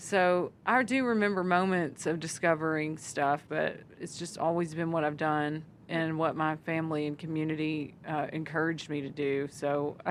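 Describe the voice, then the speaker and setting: On a very clean recording with a silent background, a woman with a Southern accent speaks at a moderate pace in a fairly low pitch. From Arkansas. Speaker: country singer. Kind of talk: interview answer.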